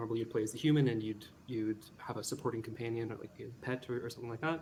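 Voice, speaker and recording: This man's voice has a dark, mellow tone. His intonation stays fairly even. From Canada. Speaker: game developer. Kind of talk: interview.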